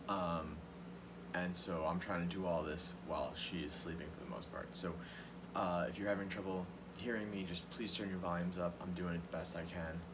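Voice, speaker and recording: A man speaks at a fairly quick pace with a very deep, low pitch and fairly even intonation, with noticeable background noise and audible room echo. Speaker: schoolteacher. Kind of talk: recorded remote lesson. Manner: quieter than usual. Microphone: may be too quiet.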